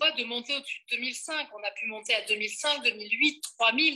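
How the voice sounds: Speaking at a fast pace, a woman has a bright, sharp tone and ordinary pitch variation.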